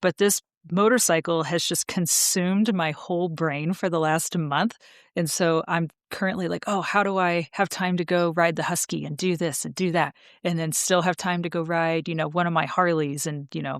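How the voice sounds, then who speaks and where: An unremarkable speaking voice belongs to a woman with an American accent who talks at a moderate pace with fairly even intonation in a very clean recording with a silent background. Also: fairly low pitch for a woman, dry, close sound with no echo. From United States. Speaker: podcast co-host, motorcycle traveler. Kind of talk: casual podcast chat.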